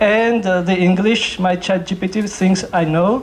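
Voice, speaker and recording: With a Georgian accent and a high pitch, a man speaks at a fairly slow pace in fairly even intonation, with audible room echo and noticeable background noise. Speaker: novelist. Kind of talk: literary event talk. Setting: library stage with audience. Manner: halting.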